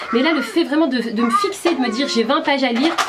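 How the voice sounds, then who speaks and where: A woman at a fairly quick pace, ordinary pitch variation, and noticeable background noise. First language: Berber (speaking French). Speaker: YouTuber. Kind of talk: vlog tutorial. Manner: hesitant, many fillers.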